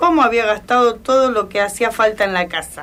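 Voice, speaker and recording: In a Rioplatense accent, a woman with a fairly high pitch speaks at a fairly slow pace. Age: 80s+. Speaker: elderly woman sharing memories. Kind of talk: personal reminiscence on radio. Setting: radio program.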